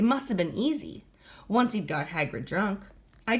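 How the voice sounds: Lively intonation marks the natural reading voice in this clip.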